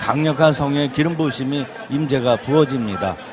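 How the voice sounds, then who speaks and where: A man with a rather high voice and typical pitch movement talks above clear background noise. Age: 60s. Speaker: pastor. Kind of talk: lecture. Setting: church.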